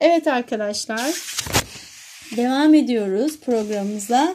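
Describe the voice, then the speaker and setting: Against light background noise, a woman speaks at a high pitch in a dark, mellow tone with ordinary pitch variation. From Turkey. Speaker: English teacher. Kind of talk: lesson explaining vocabulary and grammar. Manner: slow, repeating and translating phrases. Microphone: phone near.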